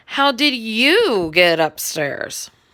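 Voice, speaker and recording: In a put-on character voice, a woman speaks at a fairly high pitch with very wide pitch swings. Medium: read story.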